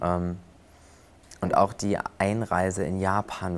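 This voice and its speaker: A man talks very slowly in a very deep, low pitch with monotone, flat intonation. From western Germany, near Cologne. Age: 20s. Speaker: flight attendant and prosthesis user. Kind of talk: interview.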